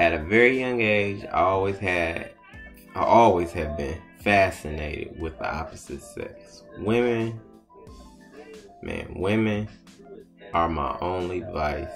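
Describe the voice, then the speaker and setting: The speech moves at a fairly slow pace with long, frequent pauses and ordinary pitch variation. Faint music plays in the background. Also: man, very deep, low pitch for a man. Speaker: show host telling his life story. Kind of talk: casual monologue vlog.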